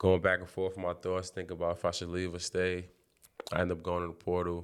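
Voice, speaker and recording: A man speaks with a New York accent. His pitch is very deep and low. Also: very clean recording, silent background. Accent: New York City. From Brooklyn, New York. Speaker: college basketball player. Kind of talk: interview.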